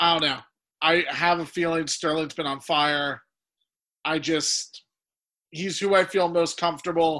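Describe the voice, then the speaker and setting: In a very clean recording with a silent background, a man with an American accent speaks at a fairly slow pace with long, frequent pauses. His high pitch comes with a bright, sharp tone and a monotone, flat intonation. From United States. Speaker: podcast host. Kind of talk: casual banter about fantasy football.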